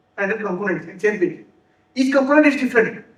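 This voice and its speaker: Ordinary pitch variation with audible room echo. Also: man. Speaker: software developer and conference speaker. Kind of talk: conference talk. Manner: fast; halting, with repeated words and self-corrections.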